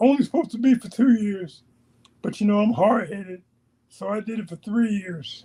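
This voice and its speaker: The speaker uses ordinary pitch variation and talks with an American accent. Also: man, high pitch for a man, moderate pace. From New York City (Queens). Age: 60s. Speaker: army veteran and podcast guest. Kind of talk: interview, life story. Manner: animated, repetitive.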